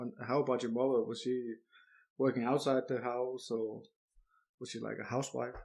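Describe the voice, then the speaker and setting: A man with a Danish accent speaks in a flat, monotone way. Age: 30s. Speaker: podcast host. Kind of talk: interview. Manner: halting, repeats words.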